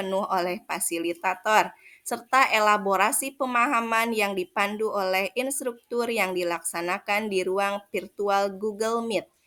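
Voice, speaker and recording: A woman at medium pitch with a bright, sharp tone, a fairly slow pace and hardly any pauses. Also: very clean recording, silent background. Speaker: teacher. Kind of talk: reflective report narration.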